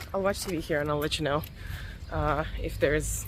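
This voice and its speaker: A woman speaks very fast over noticeable background noise. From Russia, Voronezh. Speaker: vlogger and powerlifter. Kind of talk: casual vlog. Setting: outdoors. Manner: quiet.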